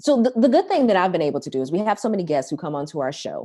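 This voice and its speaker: Speaking very fast, a woman has an American accent. Her tone is dark and mellow. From Chicago, US Midwest. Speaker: morning TV news co-anchor. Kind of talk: casual interview chat.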